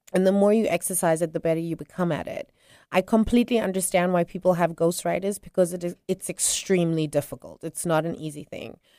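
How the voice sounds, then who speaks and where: At a moderate pace, a woman of medium pitch talks in a dark, mellow tone, the sound dry and close with no echo on a very clean recording with a silent background. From South Africa. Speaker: author and radio host. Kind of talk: interview. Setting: studio.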